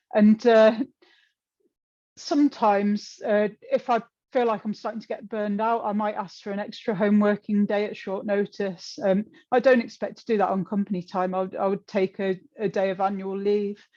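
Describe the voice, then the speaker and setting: A woman with an English accent, medium in pitch, dark and mellow in tone, at a moderate pace with fairly even intonation against a quiet background. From England. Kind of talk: presentation talk with slides. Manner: hesitant, many fillers and repeats.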